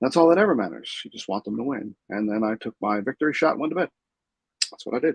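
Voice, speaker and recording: A soft-spoken man talks very fast with vocal fry and lively intonation. The sound is dry and close with no echo. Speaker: sports fan vlogger. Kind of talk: casual solo recap. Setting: home room with TV. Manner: halting.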